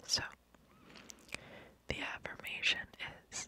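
A soft-spoken woman's whisper at a fairly slow pace, dry with no echo, over light background noise. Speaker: ASMR creator. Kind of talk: soft-spoken ASMR affirmations. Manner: soft close-mic ASMR whisper. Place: home room. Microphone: studio mic.

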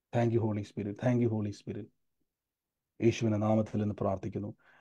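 A man speaks in a fairly low pitch with a dark, mellow tone. His intonation stays monotone and flat. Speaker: preacher leading online prayer meeting. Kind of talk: sermon and prayer. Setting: Zoom video call. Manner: fervent, repetitive declarations.

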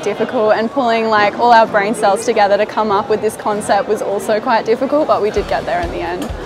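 A woman talks at a fairly quick pace with hardly any pauses and fairly even intonation. Music plays clearly in the background. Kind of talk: interview answer. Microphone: lapel.

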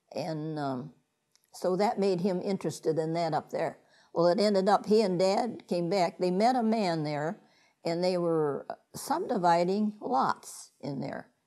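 Talking fairly slowly with a Midwestern American accent, a woman has a dark, mellow tone and ordinary pitch variation. The background is quiet. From Ottawa County, Ohio; Ohio. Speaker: interviewee. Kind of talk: oral history interview answer. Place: home room. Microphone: lapel.

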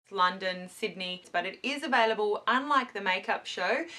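Her tone bright and sharp, a woman talks at a moderate pace with ordinary pitch variation. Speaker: beauty vlogger. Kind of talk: casual vlog chat. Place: home room. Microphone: camera far.

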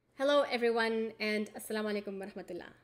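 Talking at a fairly quick pace, a woman with a fairly high pitch shows ordinary pitch variation. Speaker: assistant professor of religion. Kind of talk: educational book discussion to camera. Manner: fast. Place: home room. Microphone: webcam.

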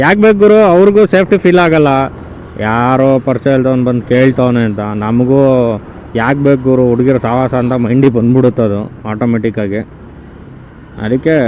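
Lively intonation over noticeable background noise. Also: man, medium pitch for a man. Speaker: scooter reviewer, vlogger. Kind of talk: casual vlog review.

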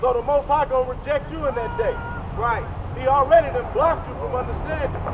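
A loud man talks at an extremely high pitch with lively intonation at a moderate pace, with noticeable background noise. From US. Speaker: street preacher. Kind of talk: street preaching, fiery sermon-like rant with scripture quotes. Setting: outdoors, street with passersby. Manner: loud, confrontational, forceful; animated, insulting, call-and-response with fellow preachers. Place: street. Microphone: camera far.

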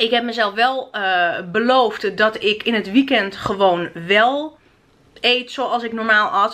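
Very slowly, a woman talks, her pitch varying an ordinary amount. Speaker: vlogger. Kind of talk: casual vlog chat. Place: home room. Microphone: phone near.

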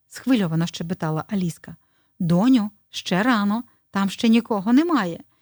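The voice is a natural reading voice. The background is quiet.

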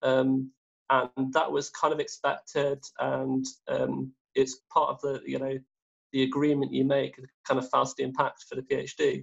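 At a fairly slow pace, a man speaks with an English Midlands accent over a quiet background. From English Midlands, Derby area. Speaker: research chemist; guest. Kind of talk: interview. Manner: halting. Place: home room. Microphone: video call.

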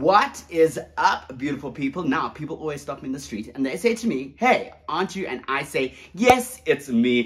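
At a moderate pace, a man speaks with hardly any pauses. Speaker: vlogger. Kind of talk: casual vlog chat. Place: home room. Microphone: camera far.

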